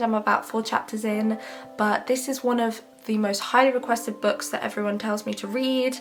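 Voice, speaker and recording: A woman speaks at a fairly quick clip in a fairly high voice with fairly even intonation, music playing behind her. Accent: British. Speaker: book vlogger. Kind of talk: casual vlog.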